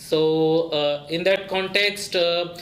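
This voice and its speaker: Over noticeable background noise and audible room echo, the speaker goes at a fairly slow pace with fairly even intonation. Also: man. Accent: Indian. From India. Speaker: graduate student. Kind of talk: interview testimony. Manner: halting, many filler sounds.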